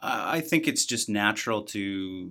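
A man with a Canadian Prairies accent, fairly low pitch and a bright, sharp tone, in a very clean recording with a silent background. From Manitoba, Canada (outside Winnipeg). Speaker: business association head. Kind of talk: interview.

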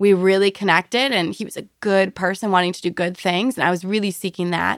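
In a very clean recording with a silent background and a dry, close sound with no echo, a woman speaks at a medium pitch and a very fast pace. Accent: American. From rural Wisconsin, US Midwest. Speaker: construction company president. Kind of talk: interview. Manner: loud; animated.

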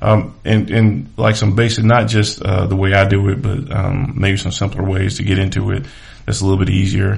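A speaker with an American accent talks at a moderate pace, with ordinary pitch variation. Noticeable background noise and audible room echo fill the recording. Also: man, fairly low pitch for a man. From Charlotte, North Carolina. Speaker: podcast host and realtor. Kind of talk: casual monologue.

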